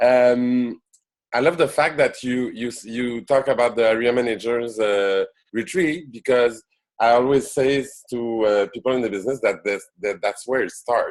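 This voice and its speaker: Speaking at a moderate pace, a man talks in a Quebec accent. His pitch is medium, with ordinary variation. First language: French. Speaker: network marketing business leader. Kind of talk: business presentation. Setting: conference call. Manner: halting, many fillers.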